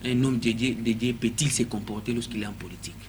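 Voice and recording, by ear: This is a man's voice at a medium pitch. He speaks at a fairly quick pace.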